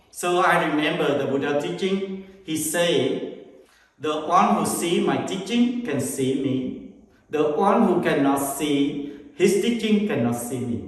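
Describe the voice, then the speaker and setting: Speaking with a Vietnamese accent, a man has a fairly high pitch and lively intonation at a fairly slow pace. Noticeable background noise and audible room echo are present. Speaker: Buddhist monk and meditation teacher. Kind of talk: casual conversation about his life and meditation. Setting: meditation center.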